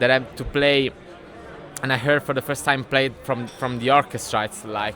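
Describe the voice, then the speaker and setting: A man at a medium pitch, with noticeable background noise. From Italy. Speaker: DJ and orchestral conductor. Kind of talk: interview. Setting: sit-down interview at a music event. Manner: halting, many fillers and repeats.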